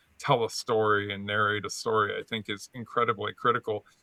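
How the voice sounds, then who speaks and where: A man at medium pitch, talking at a fairly quick pace. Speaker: podcast host. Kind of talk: casual interview chat. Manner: animated, varied pitch on show; halting, many repeated words.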